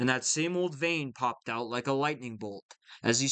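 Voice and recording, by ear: With little sound behind it, a passage is read aloud in a natural voice.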